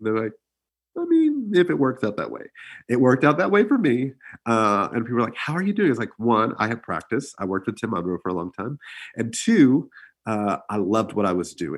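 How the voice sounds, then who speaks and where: On a very clean recording with a silent background, a man with an unremarkable speaking voice and an American accent talks at a fairly quick pace and medium pitch, his intonation lively. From Texas, Houston area (Pearland). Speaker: musical theater educator. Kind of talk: interview.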